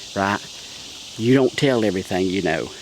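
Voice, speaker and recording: Amid noticeable background noise, a man with a Southern US accent talks at a fairly slow pace in a fairly low voice. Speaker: pastor. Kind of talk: casual vlog. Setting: outdoors in the woods.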